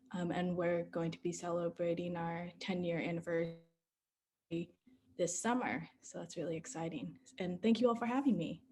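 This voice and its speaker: Dark, mellow tone and a somewhat breathy quality in a woman's fairly low voice. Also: ordinary pitch variation, moderate pace. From US, Texas. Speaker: community organizer. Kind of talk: panel Q&A.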